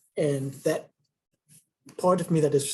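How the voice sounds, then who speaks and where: Soft-spoken and somewhat breathy, a man with a fairly high pitch and a dark, mellow tone talks at a moderate pace with fairly even intonation. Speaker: museum tour guide in training. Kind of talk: casual chat.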